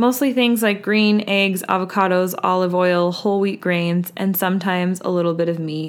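Speaking at a moderate pace, a woman keeps her pitch in the medium range. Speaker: podcast host. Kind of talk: solo podcast monologue, wellness talk. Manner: casual, conversational, animated.

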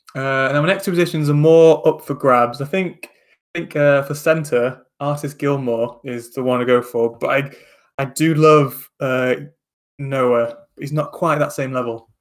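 With a Lancashire accent, a man talks at a fairly slow pace, his fairly high pitch held in fairly even intonation. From Lancashire, northern England. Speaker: podcast co-host. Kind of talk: casual chat.

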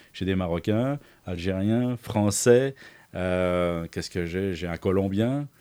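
In a very clean recording with a silent background, a man with a very deep, low pitch and a dark, mellow tone talks at a very slow pace with ordinary pitch variation. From France, Paris. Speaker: lighting engineering entrepreneur. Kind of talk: interview conversation.

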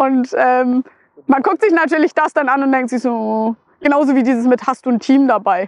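In a northern German accent, a woman with a high pitch speaks at a moderate pace with ordinary pitch variation and very even loudness, in a dry, close sound with no echo. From northern Germany, Flensburg area. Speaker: motorcycle traveller and author. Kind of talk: casual chat.

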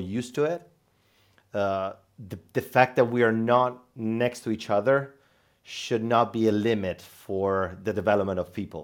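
The speech moves at a fairly slow pace with ordinary pitch variation. The background is quiet. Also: man. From central Italy. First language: Italian. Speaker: sales team manager. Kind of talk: interview conversation. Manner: halting, many fillers and repetitions.

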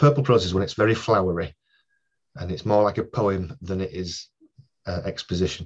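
The somewhat breathy voice has ordinary pitch variation and long, frequent pauses against a quiet background. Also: man, fairly quick pace. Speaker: crime novelist and crime scene investigator. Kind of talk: casual interview chat.

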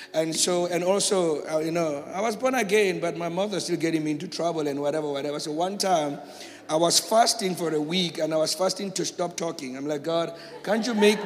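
Audible room echo sits alongside noticeable background noise in this clip. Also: man. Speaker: pastor. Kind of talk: testimony. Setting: church.

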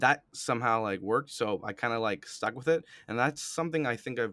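Bright and sharp in tone, a man speaks at a moderate pace on a very clean recording with a silent background and a dry, close sound with no echo. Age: 20s. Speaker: podcast host. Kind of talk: casual interview.

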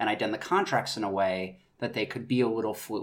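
In an American accent, a man with an unremarkable speaking voice talks at a fairly quick pace, medium in pitch with ordinary pitch variation. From North Carolina. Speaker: actor, writer and director. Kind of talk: casual interview.

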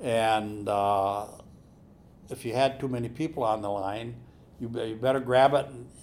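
Speaking slowly with an Upper Midwest accent, a man uses ordinary pitch variation at a fairly slow pace. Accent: Upper Midwest (Minnesota). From central Minnesota, US. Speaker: telecom company executive. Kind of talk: interview, reminiscing. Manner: halting, many repeated words.

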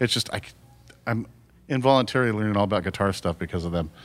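A man with an American accent talks at a very fast pace with ordinary pitch variation as music plays in the background. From Southern California, Fullerton. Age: 50s. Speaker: rock drummer. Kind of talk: casual chat.

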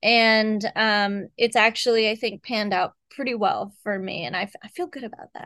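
With a normal speaking voice, the speaker talks at a moderate pace with ordinary pitch variation, hardly any pauses and big swings in loudness, over a quiet background. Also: woman, fairly high pitch for a woman. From Texas. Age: 30s. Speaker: horror novelist. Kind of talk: casual interview chat.

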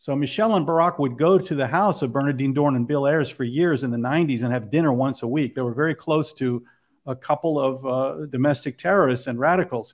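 In a very clean recording with a silent background, a man speaks very fast in a fairly high pitch with ordinary pitch variation. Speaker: filmmaker. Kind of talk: interview about his film.

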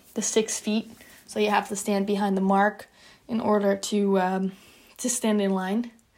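In a Dutch accent, a woman speaks at a fairly slow pace with monotone, flat intonation. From Netherlands. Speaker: college student athlete. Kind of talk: personal testimony.

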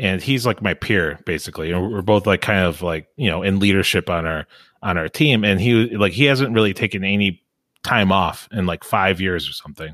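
Recorded very cleanly against a silent background, with a dry, close sound and no echo, a man with an unremarkable speaking voice talks at a fairly quick pace, pitched fairly low with ordinary pitch variation. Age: 40s. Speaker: podcast host. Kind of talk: casual chat.

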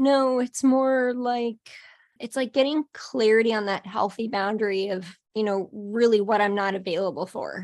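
A woman speaks with fairly high pitch and ordinary pitch variation. It is an unremarkable speaking voice over a quiet background. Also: moderate pace. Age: 40s. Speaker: business coach and author. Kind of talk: casual chat.

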